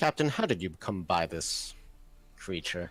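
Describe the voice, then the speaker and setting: In a very clean recording with a silent background, a man puts on a character voice, very deep and low, at a moderate pace. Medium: actual play.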